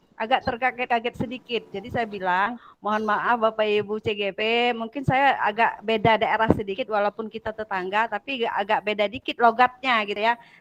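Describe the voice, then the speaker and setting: A woman's fairly high voice at a moderate pace, with a dry, close sound and no echo. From Sumatra, Bengkulu. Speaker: teacher trainer. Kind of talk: online class introduction. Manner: loud, blunt; hesitant, many fillers.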